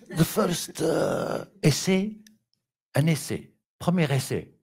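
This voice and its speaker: Very slowly, a man with an Algerian accent speaks at a fairly high pitch. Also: long, frequent pauses. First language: Kabyle (speaking French). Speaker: puppetry artist. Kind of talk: artist presentation at public talk. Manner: halting.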